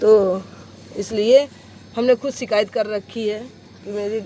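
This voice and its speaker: A woman speaks at a medium pitch with fairly even intonation. Noticeable background noise can be heard. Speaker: vlogger. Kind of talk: vlog monologue. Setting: outdoors in sunlight.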